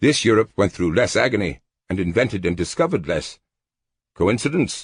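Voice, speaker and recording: A man puts on a gruff character voice with a fairly low pitch and very wide pitch swings, talking at a fairly quick pace against a quiet background. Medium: read story. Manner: gruff, sardonic.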